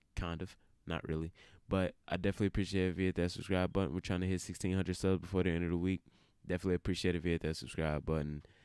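On a very clean recording with a silent background and a dry, close sound with no echo, a man talks very fast at a very deep, low pitch in a monotone, flat intonation. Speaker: wrestling commentary youtuber. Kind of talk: casual vlog commentary. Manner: low-energy.

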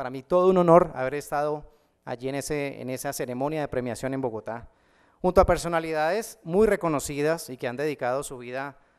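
With a Cali Colombian accent, a man talks fairly quickly with ordinary pitch variation over a quiet background. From Colombia, Cali. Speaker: math teacher and online educator; math teacher, online educator. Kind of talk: conference talk. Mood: warm, humorous. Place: hall. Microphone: podium.

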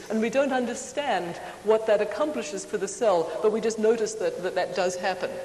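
A woman's voice with audible room echo over light background noise. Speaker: conference lecturer. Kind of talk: lecture. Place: hall. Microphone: lapel.

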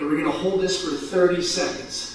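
A man speaks with a high pitch and a fairly bright tone. Strong room echo surrounds his voice.

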